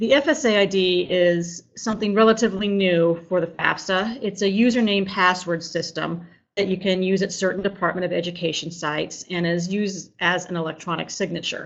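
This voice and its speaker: Speaking at a fairly quick pace with hardly any pauses, a woman keeps a medium pitch and fairly even intonation. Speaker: financial aid coordinator. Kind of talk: webinar presentation. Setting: online live webinar. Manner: fast.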